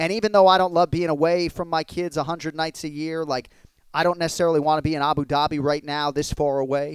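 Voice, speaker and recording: A man with an American accent, an unremarkable speaking voice, and a fairly high pitch. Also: dry, close sound with no echo. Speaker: sports commentator. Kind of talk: interview answer.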